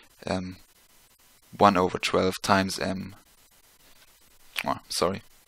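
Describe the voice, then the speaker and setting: Very deep and low in pitch, a man with a non-native accent speaks at a moderate pace in a bright, sharp tone. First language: not English. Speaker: physics tutor. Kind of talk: tutorial. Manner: halting, many fillers; casual.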